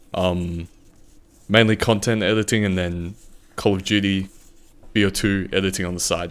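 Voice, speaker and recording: A man with an Australian accent, fairly low in pitch, at a moderate pace, with monotone, flat intonation and long, frequent pauses. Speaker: video editor. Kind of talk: casual chat.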